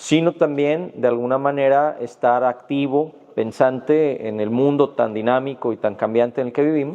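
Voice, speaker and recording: At a moderate pace, a man in a western Mexican accent speaks with fairly even intonation. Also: fairly high pitch for a man. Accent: Mexican Spanish (western, Guadalajara). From Mexico, Jalisco. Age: 40s. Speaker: judge and law lecturer. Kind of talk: podcast interview. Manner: hesitant, many fillers.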